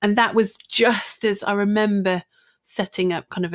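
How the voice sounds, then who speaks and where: In a very clean recording with a silent background and a dry, close sound with no echo, a woman with a normal speaking voice talks at a moderate pace with fairly even intonation. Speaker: social media business coach. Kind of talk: casual interview chat.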